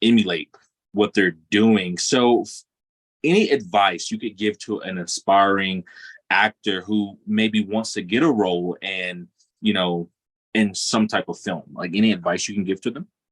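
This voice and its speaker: In a plain, everyday voice, a man speaks at a fairly slow pace and fairly low pitch, his pitch varying normally, the sound dry and close with no echo. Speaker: podcast interviewer. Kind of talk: interview host.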